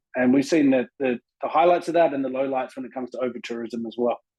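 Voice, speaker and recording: Recorded with a dry, close sound and no echo, a man with an Australian accent speaks at a fairly quick pace in a fairly high pitch. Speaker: tourism consultant, agency co-founder. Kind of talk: conference presentation.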